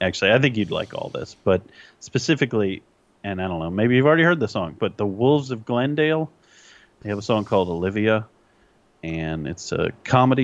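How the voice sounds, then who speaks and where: An ordinary speaking voice belonging to a man, fairly low in pitch, moves at a moderate pace with lively intonation. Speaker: podcast co-host. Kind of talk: casual chat. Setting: remote recording.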